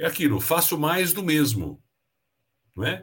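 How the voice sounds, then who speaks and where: This man speaks at a moderate pace in a fairly high voice with vocal fry. His pitch swings very widely. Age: 60s. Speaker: leadership mentor and speaker. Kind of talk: casual interview.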